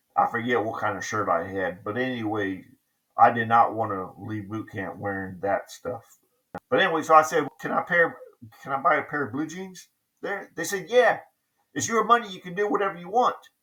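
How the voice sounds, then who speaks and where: The voice shows big swings in loudness and very wide pitch swings. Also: man, fairly high pitch for a man, fairly quick pace. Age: 60s. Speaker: navy veteran vlogger. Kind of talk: casual storytelling monologue. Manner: halting, many fillers.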